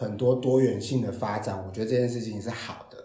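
A man speaks at a medium pitch. Background noise can be clearly heard. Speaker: storyteller and presentation trainer, HR worker. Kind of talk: interview.

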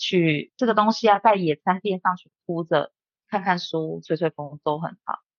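A woman's unremarkable speaking voice, fairly low in pitch, at a moderate pace with ordinary pitch variation. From Taiwan. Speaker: bartender and bar owner. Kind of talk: casual interview.

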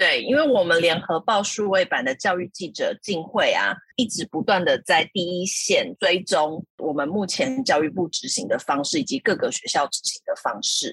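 A Taiwanese accent at a moderate pace. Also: hardly any pauses. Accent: Taiwanese Mandarin. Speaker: podcast co-host. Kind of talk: casual interview chat.

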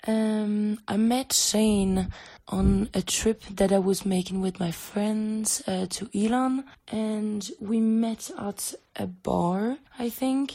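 Speaking very slowly in a French accent, a woman has a fairly high pitch and fairly even intonation. Her tone is dark and mellow and somewhat breathy. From France. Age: 20s. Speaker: exchange student. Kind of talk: recorded voice message.

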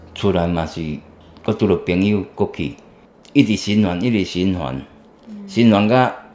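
A man talks at a fairly slow pace in a fairly low voice. His speech has long, frequent pauses. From central Taiwan. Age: 40s. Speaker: recovering drug user, farm worker. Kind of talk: interview testimony. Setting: outdoor farm location. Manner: halting.

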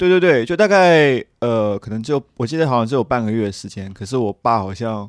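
The speech moves at a fairly quick pace with hardly any pauses. Its intonation is lively. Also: man, medium pitch for a man. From China, Qingdao. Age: 30s. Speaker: PhD student. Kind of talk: casual chat.

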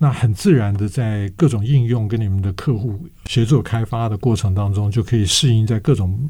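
A man's fairly low, somewhat breathy voice, dark and mellow in tone, with ordinary pitch variation at a fairly quick pace. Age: 60s. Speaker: radio host and professor. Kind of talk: interview podcast.

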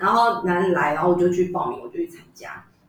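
A woman's fairly low-pitched voice with fairly even intonation and audible room echo. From Taiwan, Yunlin. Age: 30s. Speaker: traditional opera actress. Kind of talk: casual chat.

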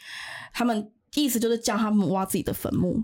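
The recording is very clean and the background silent. A plain, everyday voice goes at a fairly quick pace, its pitch varying in an ordinary way. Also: woman. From Taiwan. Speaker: activist returning from Ukraine frontline visit. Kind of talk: interview about war observations.

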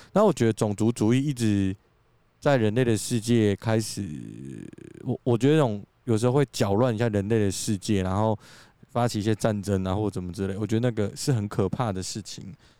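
A man with a dark, mellow tone at a fairly quick pace, in a very clean recording with a silent background and dry, close sound with no echo. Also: fairly low pitch for a man, ordinary pitch variation. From Taiwan. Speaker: podcast co-host. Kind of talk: casual chat. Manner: animated.

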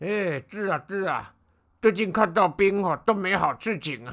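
Over a very clean recording with a silent background, a man speaks at a moderate pace with a high pitch. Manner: anxious, hurried.

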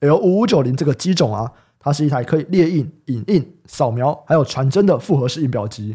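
With a Taiwanese accent, a man speaks at a fairly quick pace and fairly high pitch, his somewhat breathy voice carrying a dark, mellow tone and lively intonation in a very clean recording with a silent background. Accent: Taiwanese Mandarin. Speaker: podcast host. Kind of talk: casual chat. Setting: studio.

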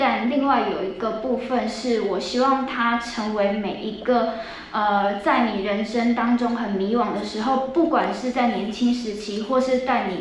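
There is noticeable background noise and audible room echo as a woman with a fairly high pitch and ordinary pitch variation speaks at a fairly slow pace. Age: 30s. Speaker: production team member. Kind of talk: prepared speech.

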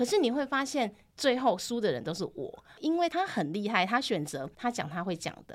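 Very wide pitch swings and vocal fry run through speech delivered at a moderate pace with hardly any pauses. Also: woman, fairly high pitch for a woman. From Taiwan, Tainan. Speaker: Taiwanese language teacher. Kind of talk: casual interview chat.

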